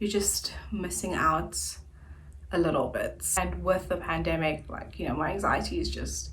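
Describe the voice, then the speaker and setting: Audible room echo surrounds a woman's voice. She speaks at a fairly slow pace. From South Africa, Centurion, Gauteng. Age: 20s. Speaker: YouTuber. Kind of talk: casual vlog chat.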